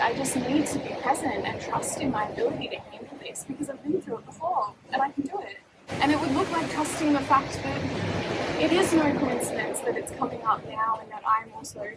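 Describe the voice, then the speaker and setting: Moderately paced speech from a woman with a high pitch, amid noticeable background noise. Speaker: domestic violence survivor, poet. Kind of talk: casual talk to camera. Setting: outdoors.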